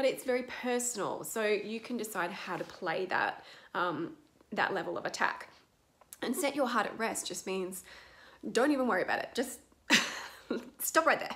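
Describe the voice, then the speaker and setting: Her intonation is lively and her pace moderate. This woman leaves long, frequent pauses. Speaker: acting coach. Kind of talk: tutorial. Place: home room. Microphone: webcam.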